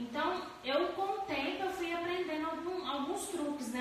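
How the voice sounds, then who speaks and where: Recorded with strong room echo and light background noise, a woman speaks at a moderate pace with ordinary pitch variation. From Anápolis, Goiás, Brazil; Goiás, Brazil. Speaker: cake decorator; cake decorating instructor. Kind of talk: tutorial. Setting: live stream. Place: home room.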